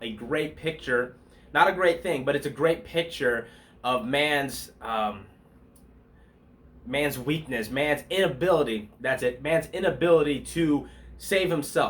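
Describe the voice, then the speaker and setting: This man's voice sits fairly high, and its pitch varies in an ordinary way. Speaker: pastor. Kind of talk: devotional bible talk. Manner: fast; casual, conversational.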